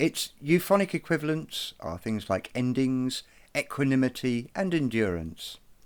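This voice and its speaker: A man speaks at a fairly slow pace with a medium pitch and very wide pitch swings. The recording is very clean, with a silent background. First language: not Irish (speaks English). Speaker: druid and bard, video presenter. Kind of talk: educational tutorial. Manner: hesitant with fillers.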